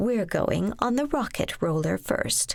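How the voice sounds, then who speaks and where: Putting on a character voice, a woman speaks fairly slowly at a fairly high pitch. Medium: read story. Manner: polite, reserved.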